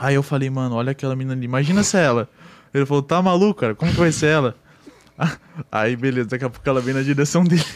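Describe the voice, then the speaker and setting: The speech moves at a very fast pace with ordinary pitch variation, broken by long, frequent pauses. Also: man, medium pitch for a man. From Rio Grande do Sul, Brazil. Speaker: online game roleplayer. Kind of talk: casual chat.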